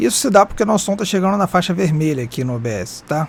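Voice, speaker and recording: Over music in the background, a man with a high pitch talks at a very fast pace. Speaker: streamer and tutorial youtuber. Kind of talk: tutorial. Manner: casual.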